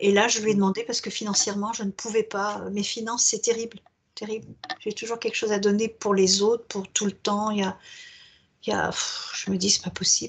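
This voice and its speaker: This woman's voice is fairly high and somewhat breathy. She speaks at a fairly quick pace with a monotone, flat intonation. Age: 70s. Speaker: hypnosis client. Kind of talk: therapy intake interview. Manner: hesitant.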